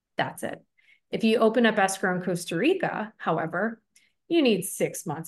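With an American accent and a plain, everyday voice, a woman of medium pitch talks at a moderate pace with lively intonation against a quiet background. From Buffalo, New York, US. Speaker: real estate broker. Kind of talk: interview.

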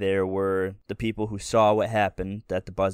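This is a natural reading voice. The words are read through as written.

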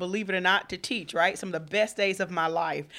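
With a Southern US accent, a woman speaks at a fairly quick pace in a medium pitch with a bright, sharp tone and ordinary pitch variation. The recording is very clean, with a silent background. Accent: Southern US (Georgia). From Georgia, Thomaston (US South). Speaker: university student affairs staff. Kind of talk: radio interview. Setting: radio studio. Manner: animated.

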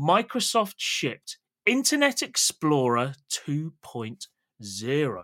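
A man with a British accent, bright, sharp tone, dry, close sound with no echo, very clean recording with a silent background. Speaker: podcast host. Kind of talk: casual chat.

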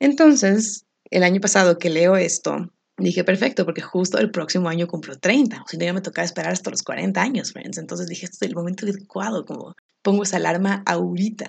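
A woman with medium pitch and vocal fry speaks with ordinary pitch variation and big swings in loudness. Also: fairly quick pace. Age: 30s. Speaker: podcast host. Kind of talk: personal monologue.

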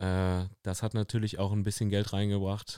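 Very slow and flat in intonation, a man speaks in a fairly low pitch with a dark, mellow tone on a very clean recording with a silent background. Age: 30s. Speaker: fitness studio owner and podcast host. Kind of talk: casual chat. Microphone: very close to the microphone.

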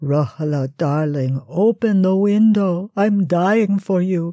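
In a put-on character voice, a woman speaks at a medium pitch and a fairly slow pace. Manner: pleading, lovesick.

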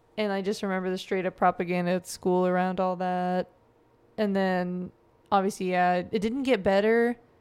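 With an American accent, a woman speaks at medium pitch and a moderate pace in a monotone, flat intonation. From US Midwest, Joplin, Missouri. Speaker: social work student and climate justice organizer. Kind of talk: casual chat.

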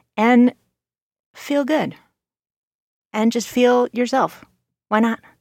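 Recorded in a dry, close sound with no echo, a woman speaks at a fairly high pitch. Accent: Californian. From California. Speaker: podcast co-host. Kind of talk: casual chat, comedy podcast.

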